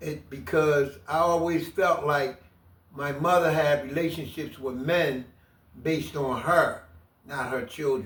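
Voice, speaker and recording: A man with an American accent speaks at a fairly slow pace. He has an ordinary speaking voice with a fairly high pitch. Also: fairly even intonation. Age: 60s. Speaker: former prisoner. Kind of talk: interview testimony.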